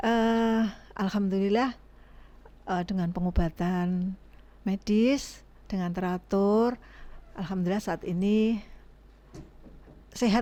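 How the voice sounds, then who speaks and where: A woman talks at a very slow pace with long, frequent pauses, her tone dark and mellow. Her pitch sits at a medium level and her intonation stays fairly even. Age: 60s. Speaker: breast cancer survivor, foundation organizer. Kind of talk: podcast interview.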